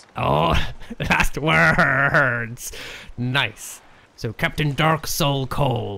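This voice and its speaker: A man's put-on character voice at a medium pitch, very slow, with long, frequent pauses. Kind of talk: comedic pirate roleplay over gameplay.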